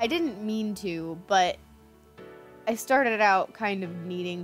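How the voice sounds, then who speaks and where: Ordinary pitch variation, backed by music. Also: woman. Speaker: hobby artist. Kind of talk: casual art commentary.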